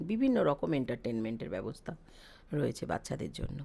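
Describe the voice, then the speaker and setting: A woman's voice on a very clean recording, background silent. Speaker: vlogger. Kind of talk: vlog voice-over.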